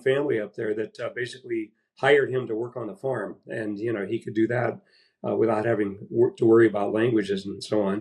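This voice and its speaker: Keeping a fairly even intonation, a man speaks at a fairly quick pace. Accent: Midwestern US. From Iowa, Des Moines. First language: Latvian. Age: 70s. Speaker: baseball historian. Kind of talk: interview.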